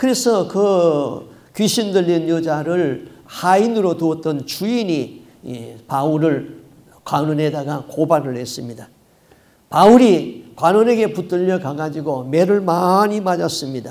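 A man's very slow speech with lively intonation. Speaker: pastor. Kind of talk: sermon. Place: church. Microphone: podium.

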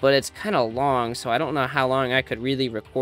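Fairly even intonation carries this plain reading aloud.

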